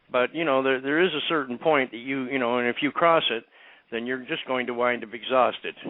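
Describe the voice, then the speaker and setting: The man has a plain, everyday voice and speaks at a fairly quick pace with fairly even intonation. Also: medium pitch for a man. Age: 60s. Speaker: medical cannabis activist. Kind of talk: interview. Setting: radio show interview.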